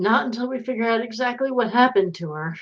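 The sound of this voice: A woman's fairly high voice, fast-paced, with lively intonation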